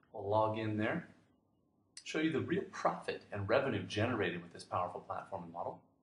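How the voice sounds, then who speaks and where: Somewhat breathy and fairly low-pitched, a man talks at a fairly quick pace with lively intonation and big swings in loudness. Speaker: online business marketer. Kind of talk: sales pitch. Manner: fast.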